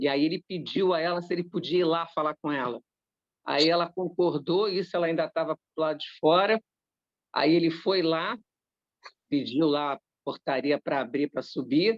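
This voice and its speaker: A woman at a moderate pace with a fairly low pitch, ordinary pitch variation and long, frequent pauses. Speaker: spiritist study group leader. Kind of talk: group study discussion, personal anecdote. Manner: animated, repetitive.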